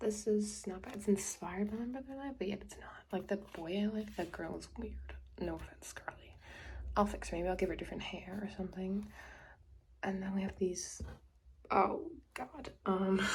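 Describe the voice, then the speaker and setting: A woman speaks at a moderate pace with big swings in loudness. Her speech is broken by long, frequent pauses. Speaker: craft youtuber. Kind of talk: casual art tutorial voiceover. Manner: casual, hesitant with fillers; whispering.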